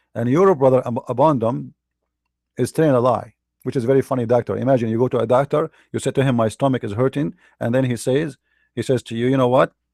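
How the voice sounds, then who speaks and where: Very clean recording, silent background, dry and close with no echo. A man with an Arabic accent talks very fast at medium pitch with fairly even intonation. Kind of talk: religious debate commentary. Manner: halting, with repetitions.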